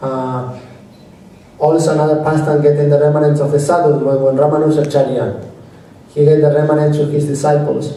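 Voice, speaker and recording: A man talks at a moderate pace with monotone, flat intonation. There is audible room echo and noticeable background noise. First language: not English. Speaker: devotional speaker. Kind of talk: religious talk. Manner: halting.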